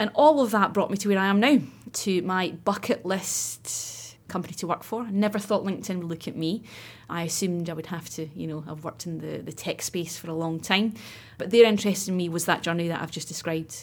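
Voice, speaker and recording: A woman with a Scottish accent speaks with big swings in loudness. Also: medium pitch for a woman, ordinary pitch variation. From Scotland, west coast near Loch Lomond. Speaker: recruitment account director. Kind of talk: interview. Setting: studio.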